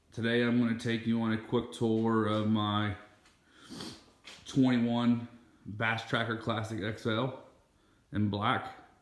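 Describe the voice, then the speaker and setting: Long, frequent pauses break up a man's monotone, flat delivery at a medium pitch, with noticeable background noise and audible room echo. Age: 30s. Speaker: boat owner, fishing vlogger. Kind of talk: casual video tour. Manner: casual, hesitant with fillers.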